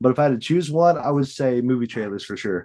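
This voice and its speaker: In an American accent, a man talks at a fairly quick pace with a medium pitch, a dark, mellow tone and ordinary pitch variation against a quiet background. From Western Illinois, USA. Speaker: voice actor. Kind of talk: casual interview answer.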